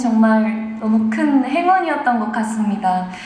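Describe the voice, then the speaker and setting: A woman with a high voice talks at a fairly slow pace, her pitch rising and falling in an ordinary way over noticeable background noise. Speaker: voice actor. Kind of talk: award acceptance speech.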